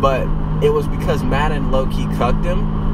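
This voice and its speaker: Loud background noise around a male voice with a dry sound and no echo. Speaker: vlogger. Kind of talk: casual vlog chat. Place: car. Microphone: phone near.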